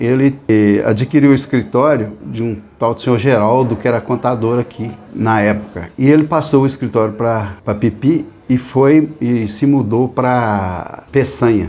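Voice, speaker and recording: Noticeable background noise runs under the speech. The pace is fairly slow, with ordinary pitch variation. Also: man, medium pitch for a man. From Minas Gerais, Brazil (Serro region). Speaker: accountant. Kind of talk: interview, reminiscing about career.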